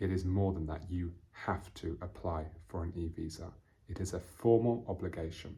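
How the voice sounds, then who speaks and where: On a very clean recording with a silent background, a man speaks in a very deep, low voice that is dark, mellow and somewhat breathy, with fairly even intonation. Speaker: English teacher. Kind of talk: lesson. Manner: slow and clear.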